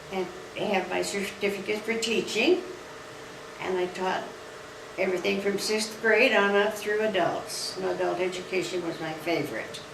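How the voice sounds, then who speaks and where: Noticeable background noise and audible room echo sit behind a woman with an American accent whose intonation stays fairly even. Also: medium pitch for a woman, moderate pace. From rural Nevada, US. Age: old. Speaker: retirement community resident. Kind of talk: personal testimonial interview. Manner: halting.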